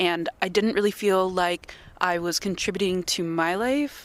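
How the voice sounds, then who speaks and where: A woman's plain, everyday voice at medium pitch with ordinary pitch variation, a moderate pace, a Canadian accent, and a dry, close sound with no echo. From Canada. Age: 20s. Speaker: sailing ship deckhand. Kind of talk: interview.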